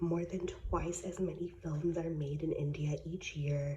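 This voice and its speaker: A soft-spoken woman's voice, fairly low in pitch, at a very slow pace with fairly even intonation. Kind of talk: ASMR reading random facts. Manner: soft-spoken, relaxing.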